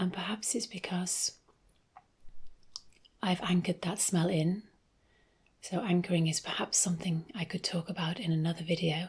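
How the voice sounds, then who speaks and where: Soft-spoken and somewhat breathy, a woman talks at a moderate pace and a fairly low pitch. Her intonation is fairly even, with long, frequent pauses. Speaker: ASMR creator and essential oils seller. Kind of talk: ASMR soft-spoken ramble.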